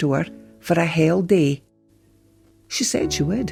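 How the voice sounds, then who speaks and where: Music plays in the background. A woman with a northeast Scottish accent speaks at a fairly slow pace. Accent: Doric Scots. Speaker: storyteller. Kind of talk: folk tale storytelling.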